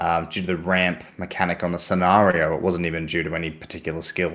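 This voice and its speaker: Speaking at a moderate pace with an Australian accent, a man has a very deep, low pitch and a bright, sharp tone. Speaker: podcast co-host and tabletop gamer. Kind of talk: casual chat.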